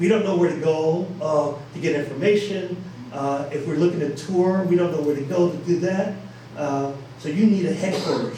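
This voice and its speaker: Noticeable background noise and audible room echo surround a man with an American accent. He talks at a fairly quick pace, his pitch varying in an ordinary way. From Buffalo, New York. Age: 60s. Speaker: heritage organization director. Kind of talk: public lecture. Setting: stage with audience. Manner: animated, repetitive with fillers.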